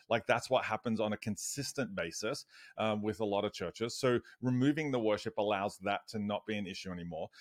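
An Australian man speaks at a fairly quick pace with a fairly low pitch and ordinary pitch variation. The recording is very clean, with a silent background and a dry, close sound with no echo. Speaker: church digital strategist and author. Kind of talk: casual interview chat.

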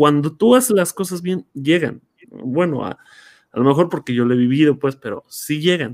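A man with a normal speaking voice talks at a fairly high pitch and a moderate pace, with lively intonation. The sound is dry and close, with no echo. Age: 30s. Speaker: podcast host, teacher. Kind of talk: casual chat. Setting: video call livestream.

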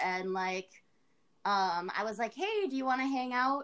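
A woman's ordinary speaking voice at a moderate pace, with ordinary pitch variation. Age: 30s. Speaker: tattoo artist. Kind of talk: casual chat.

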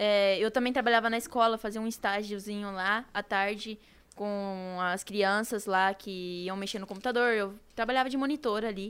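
In a very clean recording with a silent background, a woman with an unremarkable speaking voice talks at a moderate pace, her medium pitch held in fairly even intonation. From Brazil, São Paulo state. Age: 20s. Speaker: youtuber. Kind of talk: casual chat.

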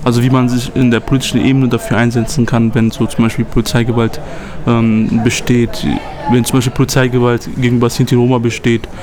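A man's fairly quick, monotone and flat delivery at very even loudness, with noticeable background noise. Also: medium pitch for a man. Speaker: youth activist podcast host. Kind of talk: casual chat. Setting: on location on a trip in Poland.

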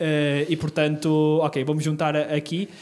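This is a man's voice. His pitch is fairly high. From northern Portugal, Terras de Basto (Trás-os-Montes). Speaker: local election candidate. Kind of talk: interview.

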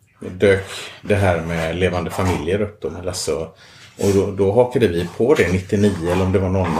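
A man speaks at a very deep, low pitch, somewhat breathy. His intonation is fairly even and his pace moderate. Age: 50s. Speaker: engineer. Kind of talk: casual chat. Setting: at home. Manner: halting, repeats words.

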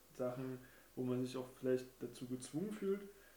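A man's dark, mellow tone at medium pitch. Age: 30s. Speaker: guest, childhood friend of the host. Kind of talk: casual chat.

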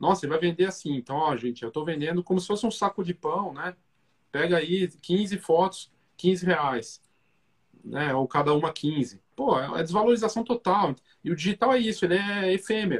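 With a dry, close sound and no echo, a high-voiced man speaks at a moderate pace with lively intonation. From Brazil, Curitiba. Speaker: podcast host and photography business educator. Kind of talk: casual interview chat. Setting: Instagram live video call.

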